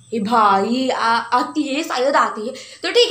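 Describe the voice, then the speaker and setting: There is audible room echo. The voice belongs to a woman. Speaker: vlogger. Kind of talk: casual vlog chat. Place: home room. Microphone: phone near.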